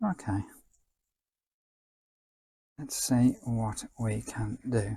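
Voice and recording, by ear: This man talks at a very slow pace in a medium pitch, with ordinary pitch variation, a dark, mellow tone, a slightly husky edge and vocal fry.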